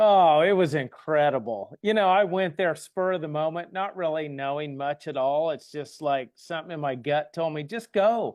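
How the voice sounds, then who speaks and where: A man's fairly high voice at a moderate pace, with ordinary pitch variation and hardly any pauses. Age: 60s. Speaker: network marketer. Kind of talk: testimony. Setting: video call.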